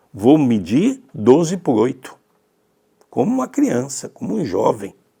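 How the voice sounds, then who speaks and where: Vocal fry colors this man's fairly high pitch as he moves at a fairly slow pace with very wide pitch swings. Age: 60s. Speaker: spiritist teacher. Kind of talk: religious study talk.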